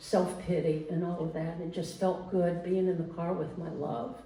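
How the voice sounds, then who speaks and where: With audible room echo and noticeable background noise, a woman with a fairly low pitch speaks at a moderate pace. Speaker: storyteller. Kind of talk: personal storytelling to a live audience. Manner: conversational, with hesitations.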